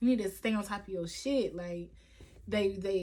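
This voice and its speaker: A woman at medium pitch, animated in tone, with ordinary pitch variation and a moderate pace, over noticeable background noise. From Kentucky, Louisville. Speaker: vlogger. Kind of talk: casual Q&A vlog.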